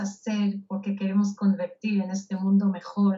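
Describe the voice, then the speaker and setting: A woman speaks with a Hebrew accent. Her voice is somewhat breathy. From Israel. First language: Hebrew (speaking Spanish). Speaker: speaker and author. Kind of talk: interview.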